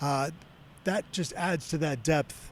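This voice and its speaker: A man's fairly high-pitched voice. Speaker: sports reporter. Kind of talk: casual analysis chat. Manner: fast.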